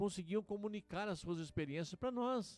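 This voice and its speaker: A man's high voice, moderate in pace and ordinary in pitch variation. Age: 60s. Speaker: pastor. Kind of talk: radio sermon.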